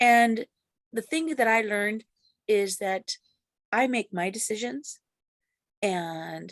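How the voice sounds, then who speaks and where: A woman with an American accent speaks at a medium pitch with lively intonation, in a dry, close sound with no echo. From US, grew up in city housing projects. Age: 60s. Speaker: ex-Jehovah's Witness sharing her story. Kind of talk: interview testimony. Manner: halting, many fillers and restarts.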